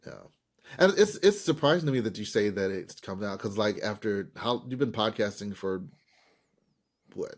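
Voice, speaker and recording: A man's fairly low voice at a moderate pace, with lively intonation and long, frequent pauses. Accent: slight Southern US. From US South, Birmingham, Alabama. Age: middle-aged. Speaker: podcast host. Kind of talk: casual chat. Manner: adapts speed to others.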